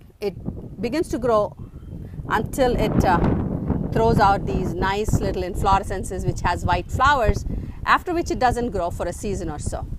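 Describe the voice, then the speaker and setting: A medium-pitched woman with lively intonation speaks with long, frequent pauses over noticeable background noise. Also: moderate pace. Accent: Indian. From South India, Andhra Pradesh. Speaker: gardening vlogger. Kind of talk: garden tour tutorial. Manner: halting, many fillers.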